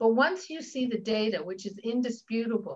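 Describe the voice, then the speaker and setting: A woman with a fairly high pitch speaks in a somewhat breathy voice. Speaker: diversity consultant and coach. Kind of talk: interview conversation.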